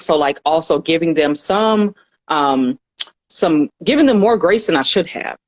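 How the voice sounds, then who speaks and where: At a moderate pace, a woman speaks with fairly low pitch in a dry, close sound with no echo. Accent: American. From US South, Atlanta. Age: 30s. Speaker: counselor and educator. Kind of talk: podcast interview. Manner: casual, halting with fillers.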